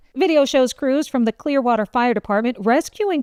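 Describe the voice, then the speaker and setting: This woman has an ordinary speaking voice with lively intonation at a moderate pace. The sound is dry and close, with no echo. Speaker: news anchor. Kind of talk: news anchor delivery, top stories roundup.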